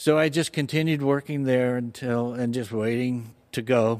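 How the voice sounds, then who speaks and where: A man with a Californian accent speaks very slowly at a medium pitch with fairly even intonation, on a very clean recording with a silent background. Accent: Californian American English. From Southern California, Fullerton. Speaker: church member sharing faith story. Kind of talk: personal testimony interview. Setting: church studio.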